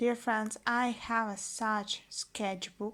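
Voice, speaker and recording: A woman speaks with a Russian accent at a fairly high pitch. Her pace is very slow and her intonation monotone and flat. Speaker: language teacher vlogger. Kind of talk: casual vlog. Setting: at home. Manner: halting.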